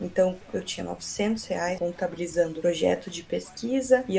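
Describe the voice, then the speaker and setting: A woman with an ordinary speaking voice, fairly low in pitch, with lively intonation and a moderate pace. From Brazil, São Paulo state (Americana). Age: 20s. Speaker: nurse. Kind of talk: casual interview.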